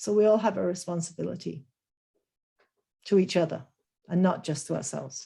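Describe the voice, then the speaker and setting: A woman's dark, mellow voice at a medium pitch with ordinary pitch variation. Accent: Lancashire. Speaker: business professor. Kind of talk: webinar Q&A.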